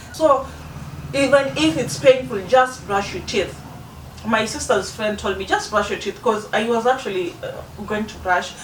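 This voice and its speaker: A woman's voice at a moderate pace, with big swings in loudness, noticeable background noise and audible room echo. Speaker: beauty vlogger. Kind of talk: casual vlog talk to camera. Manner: halting, many restarts.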